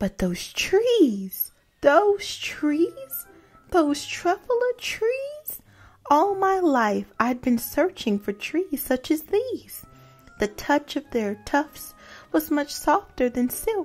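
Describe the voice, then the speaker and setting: A woman's squeaky, put-on character voice at a very slow pace, with music in the background. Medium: read story. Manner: grunting, confiding.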